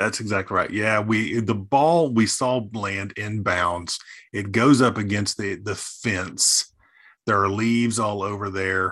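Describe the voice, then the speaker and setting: An unremarkable speaking voice talks at a fairly slow pace with ordinary pitch variation over a quiet background. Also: man, fairly low pitch for a man. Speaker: podcast co-host. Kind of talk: casual chat.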